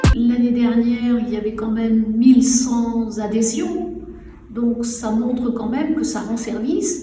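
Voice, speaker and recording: The speech comes at a very slow pace with fairly even intonation. Audible room echo and noticeable background noise fill the recording. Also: woman. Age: 60s. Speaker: retired training director, social centre president. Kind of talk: interview portrait. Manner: hesitant, many fillers.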